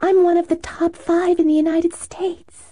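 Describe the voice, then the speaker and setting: A squeaky, put-on character voice, extremely high and monotone with flat intonation, at a moderate pace. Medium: read story. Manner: guarded, then playful.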